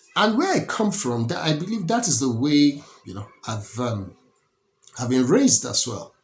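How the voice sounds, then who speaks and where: Here a man speaks with a Nigerian accent at a moderate pace. His pitch swings very widely. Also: fairly high pitch for a man. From Nigeria (Lagos). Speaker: political commentator. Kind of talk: political commentary monologue. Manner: halting, many repetitions and restarts.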